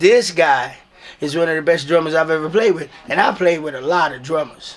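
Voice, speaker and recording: Animated in tone, a man with a fairly high pitch talks at a fairly quick pace with ordinary pitch variation and big swings in loudness, over noticeable background noise. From South Bronx, New York. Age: 60s. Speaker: singer. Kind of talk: casual chat.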